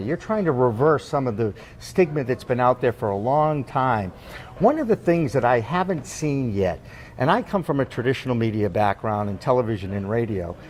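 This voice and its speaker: Over noticeable background noise, a man speaks fairly quickly at a medium pitch with lively intonation. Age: 60s. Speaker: podcast host, former broadcaster. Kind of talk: interview. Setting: on location at industry social.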